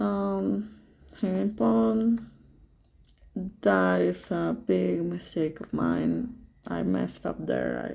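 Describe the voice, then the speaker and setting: Speaking very slowly with long, frequent pauses, a woman with a non-native accent uses a very deep, low pitch, a dark, mellow tone and very wide pitch swings. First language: not English. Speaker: chess streamer commenting own games. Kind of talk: game commentary. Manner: hesitant, many fillers.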